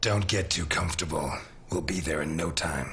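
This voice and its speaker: A man does a put-on character voice, raspy and very deep, at a moderate pace. His loudness stays very even and his intonation fairly even, with clear background noise behind him. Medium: video game. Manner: dry, sardonic.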